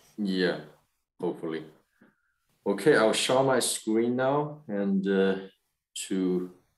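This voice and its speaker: Against a quiet background, a man talks at a very slow pace with a fairly low pitch and ordinary pitch variation. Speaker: webinar host. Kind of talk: webinar moderation. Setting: video call. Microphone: video call.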